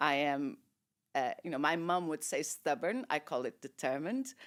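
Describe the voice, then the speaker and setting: A woman speaks with a Portuguese accent at a moderate pace. The recording is very clean, with a silent background. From Portugal. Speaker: shipping industry executive. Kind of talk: interview. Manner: loud; animated.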